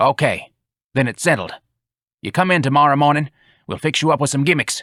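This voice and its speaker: Using a put-on character voice, a man talks at a fairly quick pace and fairly high pitch in a very clean recording with a silent background. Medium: read story. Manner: gruff, blunt, crude.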